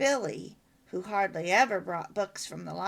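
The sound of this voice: Delivered in an unforced reading voice, the words carry lively intonation.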